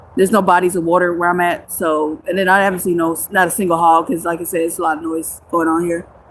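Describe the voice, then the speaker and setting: A woman's fairly low voice, flat and monotone at a very fast pace, over noticeable background noise. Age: 30s. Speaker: homeless livestreamer. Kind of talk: livestream chat with viewers. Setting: outdoors in the woods.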